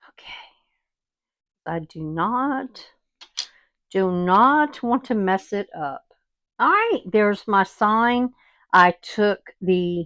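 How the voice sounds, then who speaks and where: A woman speaks at a very slow pace with a Southern US accent and ordinary pitch variation. The background is quiet, and the sound is dry and close with no echo. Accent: southern US twang. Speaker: craft video host. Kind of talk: tutorial. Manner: casual, chatty with fillers.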